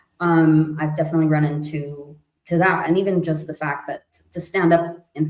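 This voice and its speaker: A woman's very deep, low voice in a Spanish accent, at a moderate pace with fairly even intonation. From US-Mexico border region. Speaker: multidisciplinary artist. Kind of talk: casual chat. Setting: live stream.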